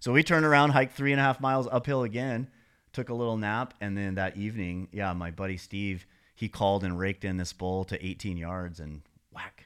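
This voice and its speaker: A man with an American accent talks in an ordinary speaking voice at a fairly low pitch. His pace is fairly quick, his intonation lively, and the recording very clean with a silent background. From Montana. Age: 50s. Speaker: sauna business owner and elk hunter. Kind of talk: casual chat. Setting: podcast.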